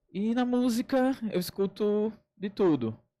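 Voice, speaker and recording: A man is speaking. Music plays in the background. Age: 20s. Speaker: writer and DJ. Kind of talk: radio interview. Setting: radio studio.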